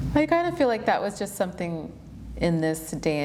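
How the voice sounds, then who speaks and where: A woman at a moderate pace with ordinary pitch variation, in audible room echo. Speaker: yoga teacher and interviewer. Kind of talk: casual interview conversation. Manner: fluent, flowing.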